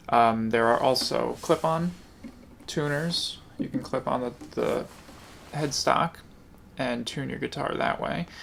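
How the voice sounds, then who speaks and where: A man speaks quietly at a very slow pace with long, frequent pauses. Noticeable background noise runs underneath. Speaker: guitar teacher. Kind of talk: tutorial. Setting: home kitchen.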